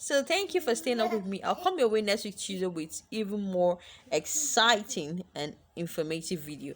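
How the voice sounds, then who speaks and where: Animated in tone, a woman speaks at medium pitch and a moderate pace with lively intonation. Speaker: lifestyle vlogger. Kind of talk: advice vlog monologue.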